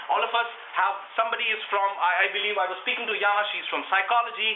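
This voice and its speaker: A loud man's voice, high for a man, with an Indian accent, fairly even intonation and a fairly quick pace, amid noticeable background noise and audible room echo. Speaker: public speaking workshop leader. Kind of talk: workshop.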